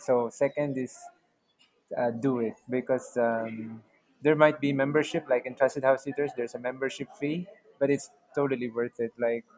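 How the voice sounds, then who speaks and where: This man has an ordinary speaking voice, delivered at a fairly slow pace with fairly even intonation. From Philippines. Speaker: travel content creator and house sitter. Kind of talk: interview.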